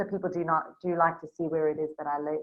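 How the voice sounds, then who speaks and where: A woman with a slight South African accent at a very fast pace, with music in the background. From South Africa, Durban. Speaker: Facebook business coach. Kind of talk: screen-share tutorial. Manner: casual, with frequent fillers.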